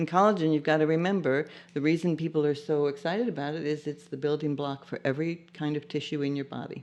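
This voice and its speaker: A woman talks very fast with hardly any pauses and fairly even intonation, at a very deep, low pitch. Music plays in the background. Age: 60s. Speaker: bone broth company founder. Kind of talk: casual interview chat.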